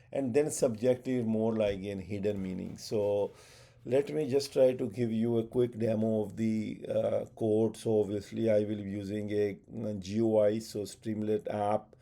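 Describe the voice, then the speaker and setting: In a Pakistani accent, a man speaks fairly slowly with a fairly low pitch and fairly even intonation. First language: Urdu. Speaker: tech educator. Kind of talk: tutorial. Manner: halting, many fillers.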